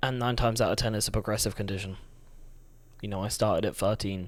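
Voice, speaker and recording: This man is soft-spoken. He talks at a very fast pace. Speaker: vlogger. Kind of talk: personal testimony monologue. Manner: halting.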